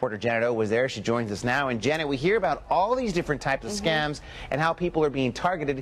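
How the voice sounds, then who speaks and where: Over noticeable background noise, a man talks very fast in a fairly high pitch, his voice swinging very widely up and down. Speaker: TV news anchor. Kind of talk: TV news anchoring.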